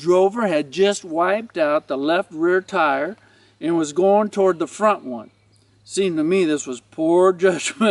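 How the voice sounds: The voice here is a natural reading voice.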